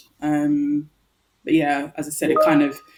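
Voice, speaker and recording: A woman speaks with a London accent. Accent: British (London). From London, England. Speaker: nail artist. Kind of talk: interview.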